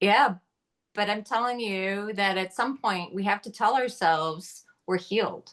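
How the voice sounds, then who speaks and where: This woman has an unremarkable speaking voice at a medium pitch. She talks at a fairly slow pace with ordinary pitch variation. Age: 60s. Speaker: podcast co-host. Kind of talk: podcast interview.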